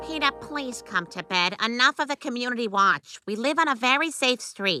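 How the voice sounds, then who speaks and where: Faint music sits behind a cartoonish character voice that sounds female, with a fairly high pitch. She speaks at a moderate pace. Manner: exasperated.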